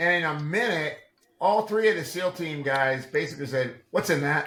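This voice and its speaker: The delivery is animated, with lively intonation and a bright, sharp tone. It moves at a moderate pace. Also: man. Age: 60s. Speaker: integrative medicine practitioner and supplement developer. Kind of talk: podcast interview. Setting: video call.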